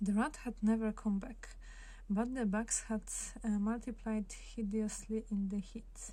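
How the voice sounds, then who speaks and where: A soft-spoken, somewhat breathy woman's voice, fairly high in pitch, at a fairly slow pace with fairly even intonation. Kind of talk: ASMR book flip-through talk.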